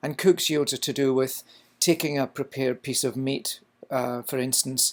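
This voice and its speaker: On a very clean recording with a silent background, a man with a slight Scottish accent speaks with fairly even intonation. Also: medium pitch for a man, moderate pace. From Scotland. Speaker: culinary instructor. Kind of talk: lecture.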